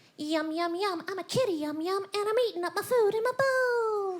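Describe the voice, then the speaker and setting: It's a put-on character voice at an extremely high pitch. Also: moderate pace. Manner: silly, sing-song.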